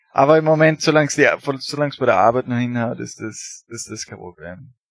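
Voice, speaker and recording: A man's medium-pitched voice at a moderate pace with ordinary pitch variation, in a very clean recording with a silent background and a dry, close sound with no echo. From Austria, rural area near Graz. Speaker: emigrant interviewee. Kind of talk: casual interview. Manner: halting, many fillers.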